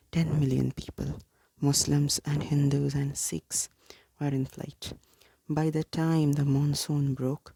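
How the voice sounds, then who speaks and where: Soft-spoken, very slow speech. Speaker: ASMR content creator. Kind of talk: reading a book aloud, soft-spoken. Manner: soft-spoken, calm, measured.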